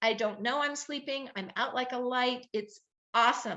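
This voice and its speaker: With an American accent, a woman talks at a moderate pace in a high pitch. Her tone is animated. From Southern California. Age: 60s. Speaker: health advocate, nonprofit founder. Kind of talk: interview testimony.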